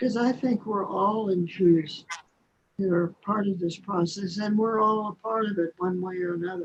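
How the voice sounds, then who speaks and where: A woman's somewhat breathy, medium-pitched voice at a moderate pace, fairly even in intonation, with long, frequent pauses. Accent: Oklahoma. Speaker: poet and author. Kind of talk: poetry reading within interview.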